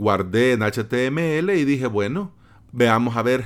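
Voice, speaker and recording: Pitch moves through very wide swings. The delivery is very slow. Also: man. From El Salvador, San Salvador. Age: 30s. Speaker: podcast host, web developer. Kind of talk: solo podcast monologue. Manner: casual, conversational with fillers.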